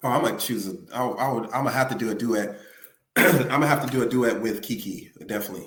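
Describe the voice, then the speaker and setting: Audible room echo carries a man's voice as he talks very fast at a medium pitch with ordinary pitch variation. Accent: Memphis. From Memphis, US South. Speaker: musician. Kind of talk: casual interview.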